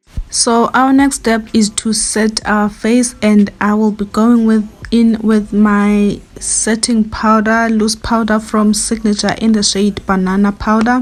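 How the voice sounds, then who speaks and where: Over noticeable background noise, a woman with a fairly high pitch speaks at a fairly slow pace in a monotone, flat intonation, her loudness very even and hardly any pauses. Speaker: beauty YouTuber. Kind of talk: makeup tutorial.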